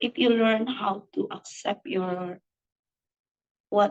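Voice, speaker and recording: A woman speaks in a somewhat breathy voice. Her pitch is fairly high. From Philippines. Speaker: carpet restoration business owner. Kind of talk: interview answer.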